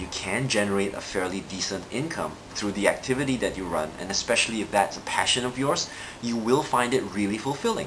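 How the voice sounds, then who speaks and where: Amid noticeable background noise and audible room echo, a man with a Singaporean accent speaks at a medium pitch and a fairly quick pace. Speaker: NLP trainer and coach. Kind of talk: live video monologue. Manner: hesitant with frequent fillers.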